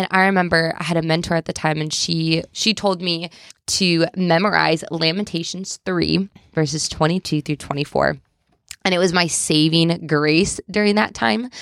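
This woman has a normal speaking voice and a fairly low pitch. She keeps a moderate pace and fairly even intonation. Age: 20s. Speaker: stay-at-home mom sharing faith testimony. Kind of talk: interview testimony.

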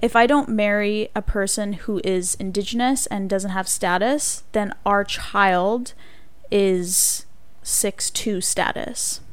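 A woman with a Canadian accent speaks at a very slow pace with fairly even intonation. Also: medium pitch for a woman. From Manitoba, Canada. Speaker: university student. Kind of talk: interview.

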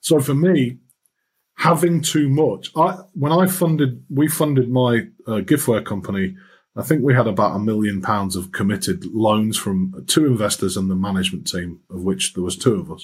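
With a Yorkshire accent, a man speaks at a moderate pace and medium pitch, somewhat breathy, his pitch swinging very widely. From Yorkshire, northern England. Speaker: finance executive and lecturer. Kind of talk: interview. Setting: remote call over the internet.

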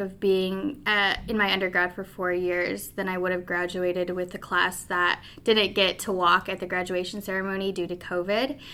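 A normal speaking voice talks at a moderate pace. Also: woman. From Colorado, US (Pueblo). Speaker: postgraduate intern at a sports governing body. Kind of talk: casual interview.

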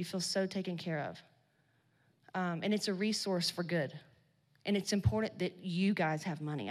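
Shaky and fairly low in pitch, a woman speaks with ordinary pitch variation and long, frequent pauses on a very clean recording with a silent background. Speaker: business coach and keynote speaker. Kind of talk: motivational talk. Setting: stage with audience. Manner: shaky voice; animated.

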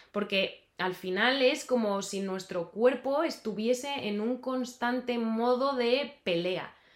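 A woman speaks at a high pitch and a very slow pace, with hardly any pauses. Noticeable background noise sits behind her. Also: ordinary pitch variation. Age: 30s. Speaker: dietitian and health coach. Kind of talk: casual interview.

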